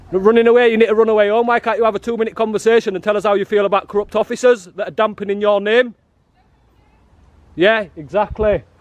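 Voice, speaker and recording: A loud, animated man with a northern English accent, high-pitched and very fast. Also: dry, close sound with no echo. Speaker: auditor. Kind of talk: confrontational street filming. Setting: outdoors.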